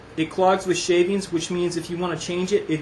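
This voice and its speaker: Noticeable background noise fills the clip. A man speaks at a very fast pace. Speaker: woodworker reviewing a hand plane. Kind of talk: tutorial. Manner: halting, many false starts.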